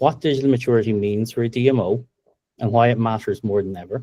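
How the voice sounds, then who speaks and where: A man talks at a very fast pace with an Irish accent. His tone is dark and mellow. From Ireland. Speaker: tech company co-founder and presenter. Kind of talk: webinar presentation.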